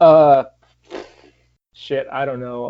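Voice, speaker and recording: A man speaks with a Michigan accent. His intonation stays fairly even. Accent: Canadian-sounding Michigan. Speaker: punk rock band member. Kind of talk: interview. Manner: halting, many fillers.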